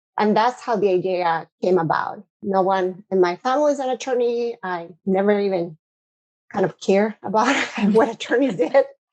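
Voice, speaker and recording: A woman with a Spanish accent, moderate pace, ordinary pitch variation, and a dry, close sound with no echo. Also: medium pitch for a woman. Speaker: corporate lawyer, cybercrime specialist. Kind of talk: podcast interview.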